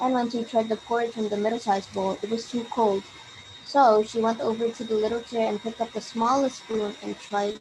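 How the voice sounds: A natural reading voice is all that comes through here.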